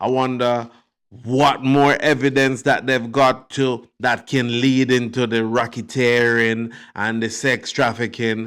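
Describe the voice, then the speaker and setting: A man at medium pitch and a fairly slow pace, monotone and flat in intonation, on a very clean recording with a silent background. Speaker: YouTube commentator. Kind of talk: casual commentary monologue. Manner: mumbling; hesitant, many fillers.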